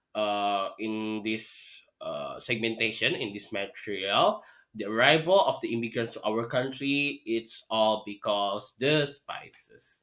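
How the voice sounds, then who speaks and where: The pace is very slow for this man. His pitch shifts in an ordinary way. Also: medium pitch for a man. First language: Indonesian / Sundanese. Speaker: teacher. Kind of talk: online lesson. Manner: halting.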